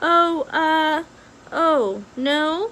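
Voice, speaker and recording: Over clear background noise, a woman uses a put-on character voice at an extremely high pitch. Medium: read story. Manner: stammering, hesitant.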